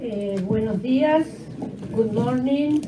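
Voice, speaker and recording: A woman with a fairly high pitch talks at a fairly slow pace, and audible room echo surrounds her voice. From Argentina. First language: Spanish. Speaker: museum education award coordinator. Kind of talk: conference talk, partly read aloud. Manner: halting.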